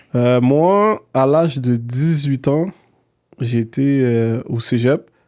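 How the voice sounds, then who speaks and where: A man speaks very slowly at a medium pitch with ordinary variation. His tone is dark and mellow, and his loudness stays very even. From Quebec, Montreal. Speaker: real estate entrepreneur. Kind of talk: interview.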